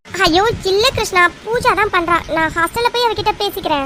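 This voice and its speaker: A woman's cartoonish character voice, extremely high in pitch, at a very even loudness. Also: moderate pace. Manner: flustered, stammering.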